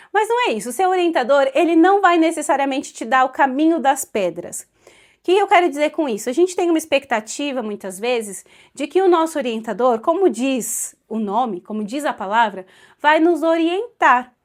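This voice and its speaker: A woman with a Brazilian accent talks in a high voice with very wide pitch swings. The recording is very clean, with a silent background. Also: moderate pace. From Brazil (São Paulo). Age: 20s. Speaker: Portuguese language teacher and literature researcher. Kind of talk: casual talk to camera.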